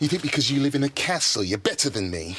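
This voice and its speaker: A man's put-on character voice, fairly high in pitch, delivered at a very fast pace. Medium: short film. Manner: stern, self-important.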